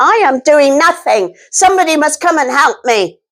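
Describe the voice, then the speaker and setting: A female-sounding voice puts on a character voice at a high pitch. The pace is moderate. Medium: read story. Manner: complaining.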